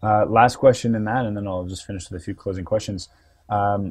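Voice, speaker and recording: A man with a Canadian accent speaks in a somewhat breathy, fairly low-pitched voice. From Canadian East Coast. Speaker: interviewer. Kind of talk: interview.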